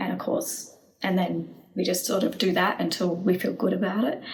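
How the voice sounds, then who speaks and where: With noticeable background noise and audible room echo, a woman's voice comes through. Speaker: EFT and manifestation coach. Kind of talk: tutorial. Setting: home video recording. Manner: casual, spontaneous.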